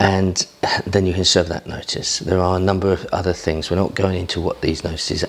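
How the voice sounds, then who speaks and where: A man with an English accent speaks quietly at a moderate pace, his pitch fairly low. There is noticeable background noise. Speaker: property investor. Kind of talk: vlog talk to camera. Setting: at home early morning. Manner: quiet, low voice.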